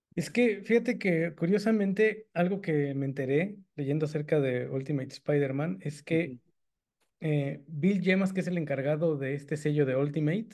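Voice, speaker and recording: With a Mexican accent, a man speaks at a fairly high pitch and moderate pace, showing ordinary pitch variation and big swings in loudness. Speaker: comic book podcast co-host. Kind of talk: casual chat.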